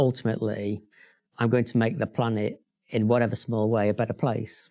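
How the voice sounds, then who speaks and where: A man with a slight Sheffield accent, medium pitch, a dark, mellow tone and a fairly quick pace. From northern England, Sheffield. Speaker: bank chief executive. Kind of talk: interview.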